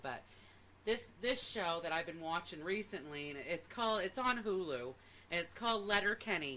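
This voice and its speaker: A woman speaks at a fairly quick pace in a Maine accent. Her tone is bright and sharp. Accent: Maine accent, said to be close to Canadian. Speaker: podcast co-host. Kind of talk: casual chat.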